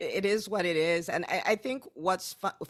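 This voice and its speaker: With an American accent, the woman talks at a moderate pace. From Nigeria. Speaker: physician entrepreneur. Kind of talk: podcast interview.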